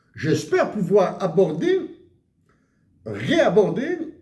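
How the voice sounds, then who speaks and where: Audible room echo colors the voice of a man speaking. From Algeria, Kabylie (Akbou, Bejaia). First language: Tamazight (Kabyle) (speaking French). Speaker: economics commentator. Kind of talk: monologue video commentary. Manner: halting, many hesitations.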